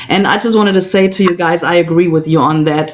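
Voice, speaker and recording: Over noticeable background noise, a woman with a fairly low pitch speaks in fairly even intonation. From Germany. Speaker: co-host of livestream. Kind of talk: casual livestream chat. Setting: virtual livestream.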